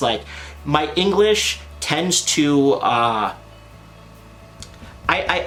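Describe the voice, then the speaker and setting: Noticeable background noise sits behind a man speaking with a Canadian accent. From Canada. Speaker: anime content creator. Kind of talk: casual vlog talk to camera. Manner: animated, casual.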